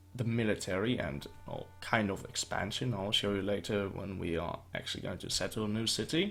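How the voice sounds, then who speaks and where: Music plays in the background. Over it, a man speaks with a fairly low pitch. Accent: non-native. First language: not English. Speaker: gaming YouTuber. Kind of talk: gameplay commentary. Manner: slow at the start; halting.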